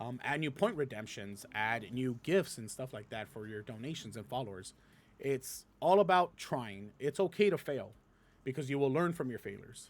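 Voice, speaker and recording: A man's animated voice at medium pitch and moderate pace, with lively intonation and big swings in loudness. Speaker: streamer answering viewer questions. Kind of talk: casual Q&A monologue.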